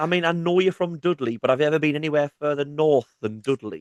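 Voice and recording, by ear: A man with a Sunderland accent, his pitch fairly high and his pace very fast, in a dry, close sound with no echo. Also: ordinary pitch variation. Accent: Sunderland northeast English (Mackem).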